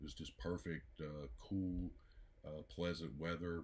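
Speaking at a fairly slow pace, a man has a very deep, low voice. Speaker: music reviewer. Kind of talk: casual album review chat. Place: home room. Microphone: phone near.

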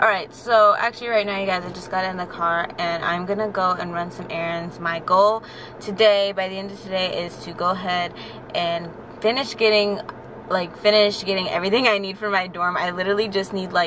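Fairly even in intonation, a woman speaks fairly quickly over noticeable background noise. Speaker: vlogger. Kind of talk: casual vlog chat. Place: car. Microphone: phone near.

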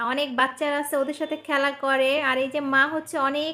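A woman projects her voice loudly at a high pitch, with a bright, sharp tone. Her intonation is monotone and flat. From Bangladesh, Faridpur. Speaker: family vlogger. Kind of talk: vlog narration.

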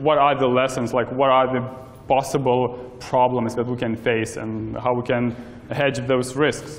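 The speaker is a man with a moderate pace. His intonation stays monotone and flat. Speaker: presenter. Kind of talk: lecture. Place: hall. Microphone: camera far.

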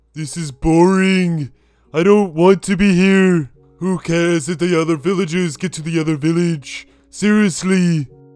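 Putting on a whiny character voice, a man talks at a high pitch and a moderate pace over faint background music. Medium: machinima. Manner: whiny, complaining.

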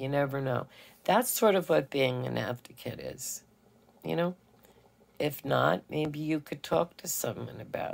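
Long, frequent pauses break up the speech. The pace is fairly slow. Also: woman. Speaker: radio DJ, voiceover actress, filmmaker and producer. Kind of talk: children's storytime host talking to camera. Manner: gentle, warm, slow, friendly. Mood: gentle, advising. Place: home room. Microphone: phone near.

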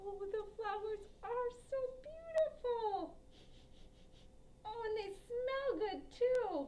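A woman in a cartoonish character voice speaks at an extremely high pitch and a very slow pace, with long, frequent pauses and clear background noise. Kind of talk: children's puppet show. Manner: upbeat, curious.

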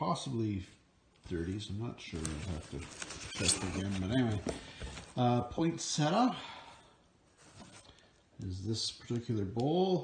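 A man talks at a fairly slow pace. He leaves long, frequent pauses over noticeable background noise. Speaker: reseller showing finds. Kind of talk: casual vlog chat. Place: garage. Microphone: phone near.

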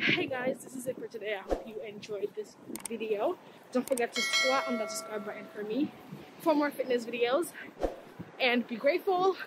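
A woman speaks over loud background noise. The sound is dry with no echo. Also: moderate pace. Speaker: fitness vlogger. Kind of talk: casual vlog chat. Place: street. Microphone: phone near.

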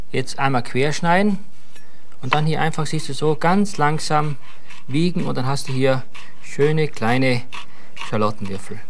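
Over light background noise, a man speaks at a fairly slow pace with long, frequent pauses, very even loudness and ordinary pitch variation. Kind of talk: cooking show tutorial. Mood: jovial, teasing. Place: studio.

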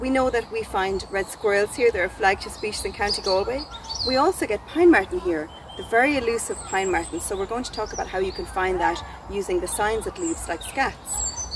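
The woman talks at a fairly quick pace. The sound is dry with no echo, though there is noticeable background noise. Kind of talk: educational talk to camera. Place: forest.

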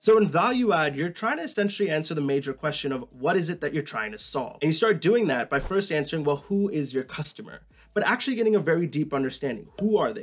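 A man at a very fast pace with lively intonation. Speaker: educational YouTuber. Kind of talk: tutorial. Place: home room.

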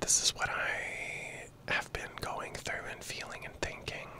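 Whispering and soft-spoken, a man talks at a very slow pace in a dry sound with no echo, with light background noise. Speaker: content creator. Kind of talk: casual personal ramble vlog. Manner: soft close-mic ASMR whisper. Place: home room. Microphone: handheld.

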